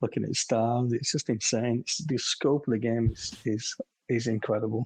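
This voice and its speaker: A man speaks quietly at a moderate pace and medium pitch. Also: fairly even intonation. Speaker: gaming community moderator and podcast co-host. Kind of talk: casual chat. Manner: quiet, keeping voice down.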